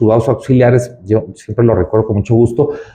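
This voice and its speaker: A somewhat breathy man speaks at a fairly quick pace. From Mexico, Ciudad Juárez, Chihuahua. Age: 40s. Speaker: judge and judicial candidate. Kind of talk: interview. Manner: halting, many fillers.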